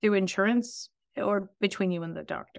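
A woman's plain, everyday voice at a medium pitch, with ordinary pitch variation, on a very clean recording with a silent background. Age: 50s. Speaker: vascular surgeon and founder. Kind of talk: interview conversation.

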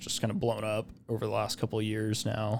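A man with an American accent talks at a moderate pace in a fairly low voice. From Idaho, Boise. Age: young. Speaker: software engineer. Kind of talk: casual interview. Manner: hesitant, many filler words.

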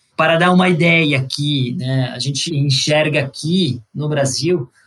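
A man with a fairly high voice talks very slowly, his pitch rising and falling in an ordinary way. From Italy, Sicily. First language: Italian (speaking Portuguese). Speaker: energy investment executive. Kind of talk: interview.

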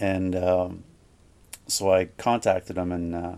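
A man with a Canadian Prairie accent speaks in a very deep, low voice with a dark, mellow tone. His intonation is monotone and flat. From Manitoba, Canada (Gimli). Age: 50s. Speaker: record label owner. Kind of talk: casual interview.

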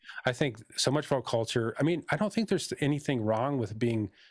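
A man with a plain, everyday voice and lively intonation, in a dry, close sound with no echo, on a very clean recording with a silent background. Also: very even loudness. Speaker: spiritual healer. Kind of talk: casual chat.

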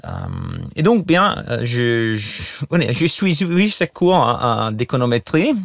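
Very slow delivery in an Italian accent, with very wide pitch swings. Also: man, fairly high pitch for a man. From Italy. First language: Italian (speaking French). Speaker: economist and university lecturer. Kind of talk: interview. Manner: hesitant, many fillers and repetitions.

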